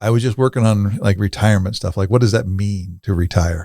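This man has a normal speaking voice with fairly low pitch and ordinary pitch variation. The sound is dry and close, with no echo. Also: very clean recording, silent background. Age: 50s. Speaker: podcast host and workshop founder. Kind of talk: podcast interview.

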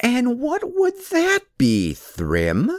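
The delivery has a dramatic tone. The recording is very clean, with a silent background. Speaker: audiobook narrator. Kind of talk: mythic fairy-tale narration, read aloud from a book. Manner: storyteller's rhythm, unhurried, dramatic character voices.

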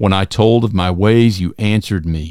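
In a very clean recording with a silent background, a man with a dark, mellow tone speaks at a fairly low pitch and fairly slow pace with fairly even intonation. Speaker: podcast host. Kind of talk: scripture reading aloud, devotional. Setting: solo recording. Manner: slow, measured, reverent.

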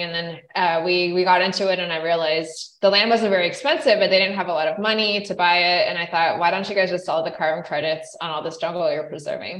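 Very fast speech comes from a woman at a medium pitch. Her intonation stays fairly even, and there is audible room echo. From central Idaho, US. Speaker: physician and environmental entrepreneur. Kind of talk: interview. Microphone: unstable internet connection, breakups.

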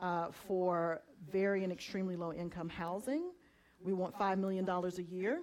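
At a moderate pace, a woman uses an ordinary speaking voice with an American accent, a medium pitch and fairly even intonation. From Southeast Georgia, US. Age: 40s. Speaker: community organizer, justice ministry leader. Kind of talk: panel discussion in church service.

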